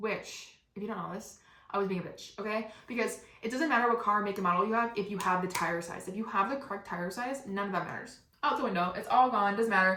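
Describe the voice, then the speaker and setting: The speaker talks at a very fast pace in an animated tone with ordinary pitch variation, with audible room echo and noticeable background noise. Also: woman, medium pitch for a woman. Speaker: podcast host. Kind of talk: storytelling monologue.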